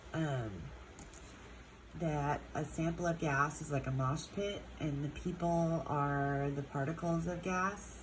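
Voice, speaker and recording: A woman speaks at a very slow pace in a very deep, low voice, somewhat breathy, with fairly even intonation and audible room echo. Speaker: chemistry teacher. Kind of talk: lecture. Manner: casual, hesitant with fillers.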